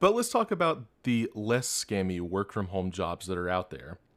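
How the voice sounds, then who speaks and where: Speaking at a moderate pace, a man has a fairly low voice and a Southern US accent. The recording is very clean, with a silent background. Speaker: podcast host. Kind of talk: podcast monologue.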